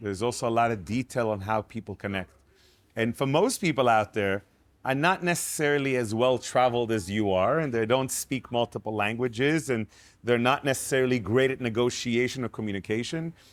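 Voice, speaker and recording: At a fairly quick pace, a man speaks in a medium pitch with ordinary variation. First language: not English (English is his third language). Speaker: networking entrepreneur. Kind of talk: casual conversation. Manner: halting with repetitions.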